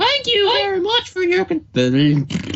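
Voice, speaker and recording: Someone uses a put-on character voice pitched extremely high. The pace is moderate. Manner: sickly sweet, forced politeness.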